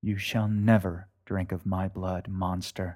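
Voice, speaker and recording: A man puts on a character voice with a very deep, low pitch. He goes at a fairly slow pace in a flat monotone. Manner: defiant, through clenched teeth.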